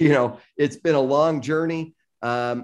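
With an American accent, a man speaks in an ordinary speaking voice of medium pitch and ordinary pitch variation. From US Midwest, south Chicago suburbs. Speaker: tech company founder and CEO. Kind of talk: interview.

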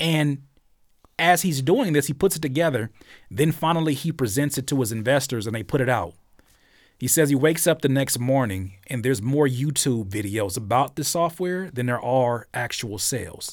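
This man has an ordinary speaking voice at a medium pitch, with lively intonation and a moderate pace. The recording is very clean, with a silent background. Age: 30s. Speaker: music producer and YouTuber. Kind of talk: casual chat.

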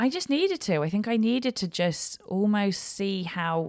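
A woman with an English accent speaks at a fairly slow pace with ordinary pitch variation. The recording is very clean, with a silent background. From West London, England. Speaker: comedian. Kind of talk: casual chat. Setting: live recording.

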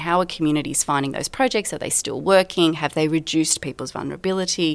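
In an Australian accent, a woman speaks at a very deep, low pitch. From rural New South Wales, Australia. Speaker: geography professor. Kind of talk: interview.

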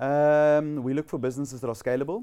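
A man with a South African accent and a dark, mellow tone. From South Africa, Western Cape (Somerset West). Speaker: tech entrepreneur. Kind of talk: interview. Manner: casual, hesitant with fillers.

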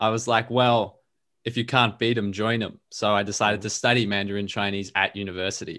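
A fairly low-pitched man with an Australian accent at a moderate pace. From Melbourne, Australia. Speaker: language learner and podcast guest. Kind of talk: casual chat. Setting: video call.

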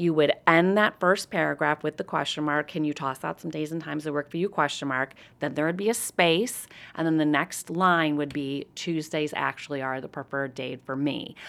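A woman with a very deep, low pitch and ordinary pitch variation at a moderate pace, on a very clean recording with a silent background. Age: 40s. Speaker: professional speaker on communication. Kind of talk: podcast interview. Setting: convention venue.

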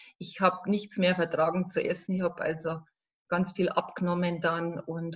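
A woman with a fairly low pitch speaks at a moderate pace in a somewhat breathy voice. Her intonation is monotone and flat. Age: 40s. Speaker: life coach. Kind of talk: interview.

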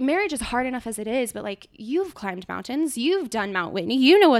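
A woman at a fairly quick pace, with very wide pitch swings. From California, Truckee. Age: 20s. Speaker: elopement photographer. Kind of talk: casual chat.

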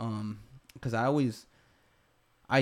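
Here is an ordinary speaking voice at a moderate pace. The intonation is fairly even, and the recording is very clean with a silent background. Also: man. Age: 30s. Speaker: podcast host and skydiver. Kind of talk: casual chat.

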